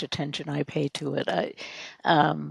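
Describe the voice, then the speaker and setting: Recorded dry and close with no echo, a woman talks with vocal fry. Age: 70s. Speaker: type 1 diabetes advocate and blogger. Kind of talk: casual interview chat. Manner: halting.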